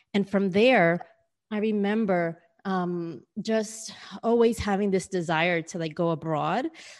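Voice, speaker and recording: A woman's medium-pitched voice with a New York accent. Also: ordinary pitch variation. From New York City, US. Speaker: business mentor and career coach. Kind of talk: interview.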